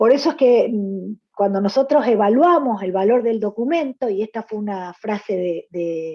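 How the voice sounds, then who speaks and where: Her voice is fairly high, and this woman's intonation is lively. She moves at a fairly slow pace with hardly any pauses. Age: 60s. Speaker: gynecologist. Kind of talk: panel presentation. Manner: halting, many fillers.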